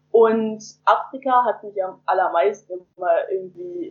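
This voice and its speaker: A woman with an unremarkable speaking voice at medium pitch. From northern Germany, near Hamburg. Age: young. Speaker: volunteer returning from abroad. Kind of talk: interview. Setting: remote call from home.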